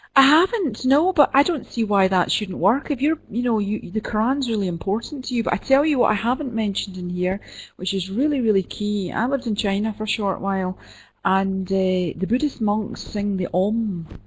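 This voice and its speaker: In a Scottish accent, a woman speaks at a moderate pace with a fairly high pitch, somewhat breathy tone and lively intonation. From Scotland, Glasgow. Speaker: midwife and professor. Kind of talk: Q&A after an online lecture. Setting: web conference.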